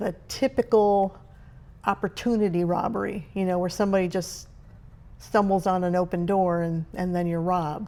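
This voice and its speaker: Her tone dark and mellow, a woman with a medium pitch speaks at a moderate pace with fairly even intonation. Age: 60s. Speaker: retiree vlogger. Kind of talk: casual vlog monologue. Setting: at home. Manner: hesitant, many fillers.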